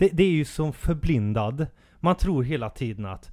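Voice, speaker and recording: A man with an unremarkable speaking voice uses lively intonation at a moderate pace, captured in a very clean recording with a silent background. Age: 30s. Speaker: podcast co-host. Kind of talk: casual chat.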